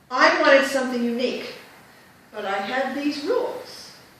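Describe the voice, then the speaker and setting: Noticeable background noise and audible room echo accompany a woman's high-pitched voice with lively intonation. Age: 60s. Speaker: Toastmasters club member giving a speech. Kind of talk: prepared humorous speech. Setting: club meeting with audience.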